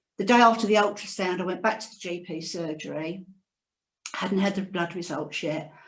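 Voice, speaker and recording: Audible room echo surrounds a woman who talks at a fairly quick pace. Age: 60s. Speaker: cancer survivor. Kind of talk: testimony. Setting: video call. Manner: reading from notes.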